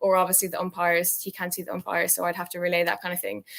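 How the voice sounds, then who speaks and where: A woman speaks at a medium pitch in a monotone with flat intonation. The recording is very clean with a silent background, and the sound is dry and close with no echo. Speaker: university rower and club president. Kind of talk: interview. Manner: mumbling; hesitant, many fillers.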